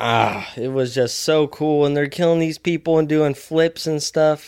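A man speaks at a fairly slow pace with a fairly high pitch and fairly even intonation, his tone clear, smooth and slightly mellow. The recording is very clean, with a silent background.

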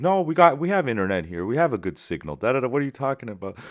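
On a very clean recording with a silent background, a man can be heard talking. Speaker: film director. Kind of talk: casual chat. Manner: animated.

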